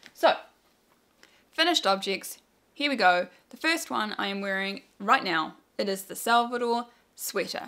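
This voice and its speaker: A bright, sharp woman's voice in a New Zealand accent on a very clean recording with a silent background. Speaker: knitting video podcaster. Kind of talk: casual chat. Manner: chatty, with fillers.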